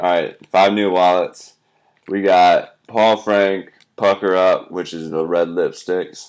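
In an American accent, a man speaks very slowly with a very deep, low pitch. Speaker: crafter showing handmade duct tape wallets for sale. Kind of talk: casual product showcase. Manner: casual, chatty. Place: home room. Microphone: webcam.

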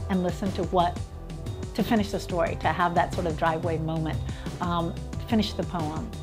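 A woman speaking at a moderate pace over clear music in the background. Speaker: radio poetry show co-host. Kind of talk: interview answer, casual talk about community radio. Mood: warm, enthusiastic, reflective. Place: home room.

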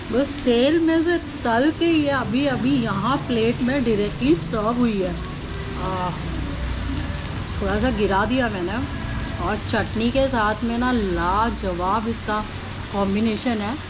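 The speech moves at a very slow pace with long, frequent pauses. Noticeable background noise sits behind it. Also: woman. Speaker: food vlogger. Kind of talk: casual vlog chat. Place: cafe.

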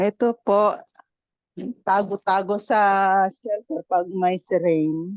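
The sound is dry and close with no echo at all. A woman talks at a very slow pace. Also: medium pitch for a woman, fairly even intonation. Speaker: overseas Filipino worker. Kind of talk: casual chat. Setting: video call.

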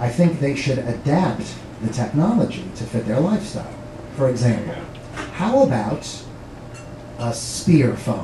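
Long, frequent pauses mark the speech, which moves at a fairly slow pace in an animated tone. Noticeable background noise runs underneath. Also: man, lively intonation. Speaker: stand-up comedian. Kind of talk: stand-up comedy with live audience, joke-telling. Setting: comedy club stage with audience. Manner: animated, punchline-driven, pausing for laughs. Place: stage.

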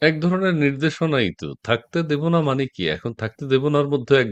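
A man speaks against a quiet background. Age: middle-aged. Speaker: political talk show host. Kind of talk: live political talk show. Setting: live stream video call.

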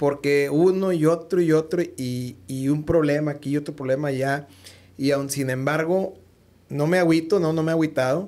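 Fairly high in pitch, a man's voice has a dark, mellow tone. He speaks at a moderate pace with fairly even intonation. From Mexico. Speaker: podcast host. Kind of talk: casual interview chat. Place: studio. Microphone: studio mic.

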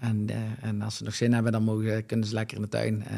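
The delivery is very fast and monotone, with flat intonation against a quiet background. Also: man. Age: 30s. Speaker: landscaping entrepreneur; guest. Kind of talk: interview. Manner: hesitant with filler sounds. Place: studio. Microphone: studio mic.

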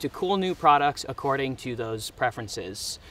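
A man at a moderate pace, with ordinary pitch variation and a dry sound with no echo. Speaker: outdoor vlogger. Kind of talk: casual vlog chat.

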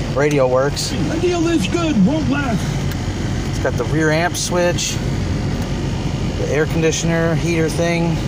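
The sound is dry with no echo, but loud background noise runs underneath. The pace is moderate, with long, frequent pauses. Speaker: car seller. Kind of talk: walkaround commentary. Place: car. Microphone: phone near.

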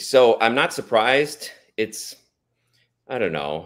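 Over a quiet background, a man's voice swings very widely in pitch. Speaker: father of co-host. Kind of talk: casual chat. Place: home room.

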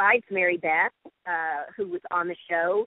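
A woman speaks at a medium pitch and a very slow pace. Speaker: actress and voiceover artist. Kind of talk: interview answer.

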